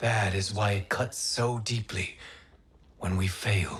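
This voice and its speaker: A man puts on a raspy character voice with a fairly low pitch. He speaks at a fairly slow pace. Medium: video game. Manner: formal, measured.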